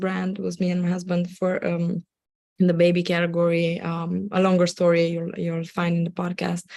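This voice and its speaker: A woman with a Romanian accent speaks in a medium pitch at a moderate pace. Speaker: Amazon seller and agency owner. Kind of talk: live webinar presentation. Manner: halting, many fillers.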